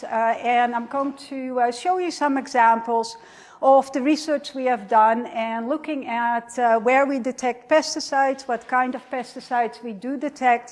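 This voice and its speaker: With a Dutch accent, the speaker moves at a moderate pace and shows ordinary pitch variation. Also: woman. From Netherlands. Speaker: professor. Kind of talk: lecture. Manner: many fillers (uh).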